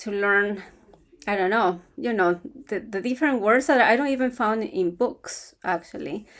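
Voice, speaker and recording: Lively intonation marks a woman's fairly high voice with an Ecuadorian accent. She speaks at a fairly slow pace in a very clean recording with a silent background. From Ecuador, Quito. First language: Spanish. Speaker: vlogger on retiring in Ecuador. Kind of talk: casual talk to camera.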